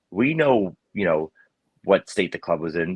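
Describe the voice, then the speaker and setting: Someone with a New York accent talks at a moderate pace, the sound dry and close with no echo. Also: man. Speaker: football podcast co-host. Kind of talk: casual chat.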